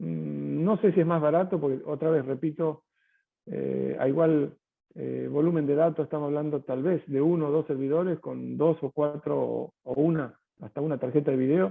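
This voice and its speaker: A man with a Rioplatense accent speaks in a fairly high voice for a man. His intonation stays fairly even. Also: moderate pace. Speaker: tech company sales executive. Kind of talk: webinar Q&A answer. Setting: online webinar. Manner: hesitant, many fillers and repetitions.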